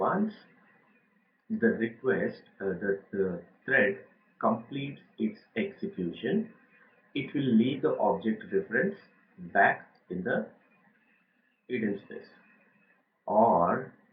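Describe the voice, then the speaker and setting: At a very slow pace, a man speaks with long, frequent pauses. His pitch is medium and swings very widely. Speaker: IT trainer. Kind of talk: lecture.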